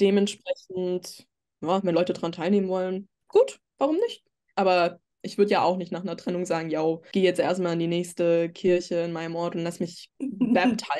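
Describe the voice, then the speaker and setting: A woman's medium-pitched voice with a dark, mellow tone and fairly even intonation, over a quiet background. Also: moderate pace. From Germany, Würzburg area; Germany. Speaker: podcast guest. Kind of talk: casual chat. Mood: relaxed, reflective. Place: home room. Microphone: video call.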